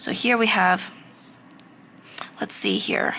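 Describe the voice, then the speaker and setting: Over noticeable background noise, the speech unfolds at a very slow pace. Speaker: art instructor. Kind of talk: tutorial. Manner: halting, self-correcting; casual.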